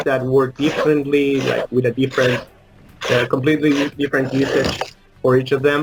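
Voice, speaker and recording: Noticeable background noise accompanies a man with a Spanish accent speaking at a medium pitch in a monotone, flat intonation. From Uruguay. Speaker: indie game developer. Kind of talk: interview. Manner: halting, many fillers.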